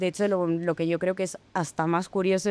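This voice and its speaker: A woman speaks in a plain, everyday voice. Her pace is fairly quick. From Spain, Madrid area. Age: 20s. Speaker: journalist. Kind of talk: interview.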